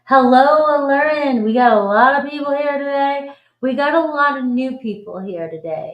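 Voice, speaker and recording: A woman talks with a Boston accent. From Boston, US. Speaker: tarot reader. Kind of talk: live stream reading chat. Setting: live stream. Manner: animated.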